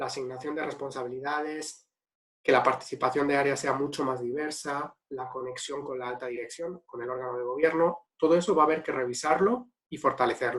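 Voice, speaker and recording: A man with a slight Spanish accent speaks at a fairly high pitch. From Spain. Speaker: ethics and governance consultant. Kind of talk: webinar Q&A answer.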